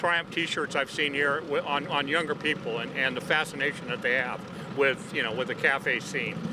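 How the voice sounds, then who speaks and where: Over noticeable background noise, a man with an American accent speaks with ordinary pitch variation. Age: 60s. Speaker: vintage motorcycle racer. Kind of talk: interview. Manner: halting.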